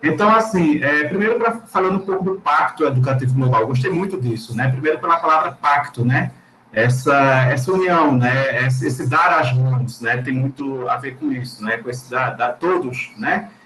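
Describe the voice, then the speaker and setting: With music in the background, a man in a Pernambuco accent talks at a fairly high pitch and a moderate pace, with lively intonation and hardly any pauses. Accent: Pernambuco accent, noticeable. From Recife, Pernambuco, Brazil. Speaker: Portuguese teacher. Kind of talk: panel discussion.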